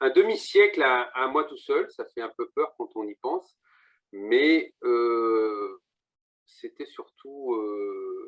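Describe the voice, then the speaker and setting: A man speaks at a very slow pace in a dry, close sound with no echo. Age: 50s. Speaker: real estate agent. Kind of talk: interview.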